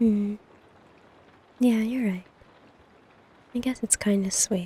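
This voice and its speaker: A woman's somewhat breathy voice with a dark, mellow tone and medium pitch, very slow and fairly even in intonation, in a dry, close sound with no echo. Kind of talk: ASMR girlfriend roleplay. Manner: affectionate, sleepy.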